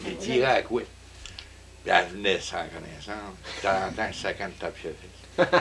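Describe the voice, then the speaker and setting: A man at a fairly quick pace, with long, frequent pauses and noticeable background noise. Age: 70s. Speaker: retired contractor. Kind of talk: casual interview. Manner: halting.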